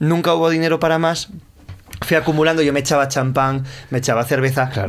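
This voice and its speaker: Against noticeable background noise, a man with a fairly high pitch talks at a fairly quick pace, his loudness very even and his intonation fairly even. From Asturias (Gijón), northern Spain. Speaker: musician and author. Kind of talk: interview chat.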